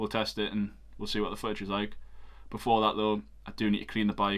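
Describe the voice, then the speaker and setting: A man talks with a Geordie accent. His pitch sits fairly low. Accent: Geordie (Newcastle). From northeast England, Newcastle. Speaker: photographer and cycling vlogger. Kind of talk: casual vlog. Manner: hesitant, many filler ums.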